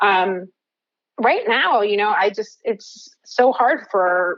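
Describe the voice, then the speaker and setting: This is an ordinary speaking voice with ordinary pitch variation and an American accent. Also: woman. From New Jersey. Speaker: cannabis health coach, neuroscientist. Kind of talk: podcast interview.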